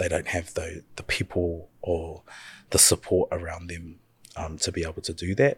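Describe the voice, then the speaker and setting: A man's very deep, low, somewhat breathy voice at a moderate pace with fairly even intonation, dry and close with no echo, in a very clean recording with a silent background. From New Zealand, North Island (Murupara). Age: 30s. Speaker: community youth worker. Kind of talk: casual interview conversation. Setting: studio, in person.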